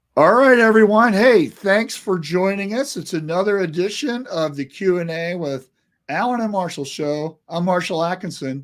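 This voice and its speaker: Over a silent background in a very clean recording, a man with a high voice talks at a moderate pace with lively intonation. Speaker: business podcast co-host. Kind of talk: casual live Q&A show. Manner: animated.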